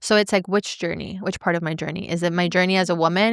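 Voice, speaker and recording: With a normal speaking voice, a woman speaks at a fairly low pitch and with fairly even intonation, captured in a very clean recording with a silent background. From Venezuela, moved to US at eight. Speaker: podcast host and entrepreneur. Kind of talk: casual interview chat.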